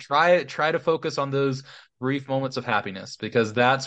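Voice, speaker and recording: Over a quiet background, a man with an American accent talks in an ordinary speaking voice at a medium pitch. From Missouri. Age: young. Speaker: pastor. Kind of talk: casual chat. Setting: video call.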